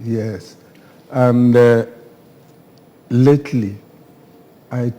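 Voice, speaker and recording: This man speaks at a very slow pace with a Nigerian accent. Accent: Nigerian Igbo English. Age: 80s+. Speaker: author, retired educator. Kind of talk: TV interview.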